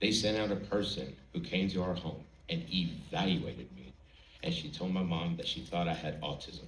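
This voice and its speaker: Vocal fry and lively intonation at a moderate pace, with audible room echo. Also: man, very deep, low pitch for a man. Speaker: college student, speech contestant. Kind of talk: prepared speech. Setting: stage with audience.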